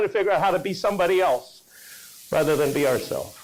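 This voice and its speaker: Amid noticeable background noise and audible room echo, a man speaks at a very fast pace in an animated tone. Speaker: motivational speaker. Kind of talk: keynote speech. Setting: stage with audience.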